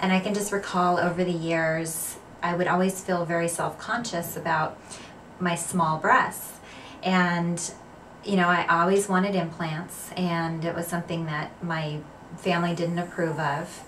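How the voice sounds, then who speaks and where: A woman's fairly low, monotone, flat voice at a fairly slow pace over noticeable background noise. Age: 40s. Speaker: cosmetic surgery patient. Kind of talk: patient testimonial. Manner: casual, hesitant with fillers.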